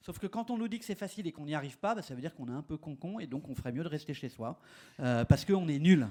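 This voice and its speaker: Talking very fast, a man uses a dark, mellow tone, his pitch swinging very widely and his loudness rising and falling sharply. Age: 60s. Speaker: urban age-friendly policy expert. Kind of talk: conference panel talk. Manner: hesitant, many fillers.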